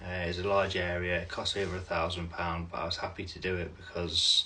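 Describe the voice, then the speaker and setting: Amid noticeable background noise and audible room echo, a man speaks in a very deep, low pitch with monotone, flat intonation. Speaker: vlogger. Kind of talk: personal update video. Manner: slow; halting.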